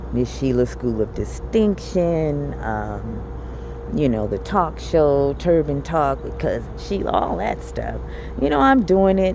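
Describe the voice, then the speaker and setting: The speech moves at a very slow pace with audible room echo. Background noise is noticeable. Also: woman. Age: 50s. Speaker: vlogger. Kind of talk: personal video diary. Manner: animated.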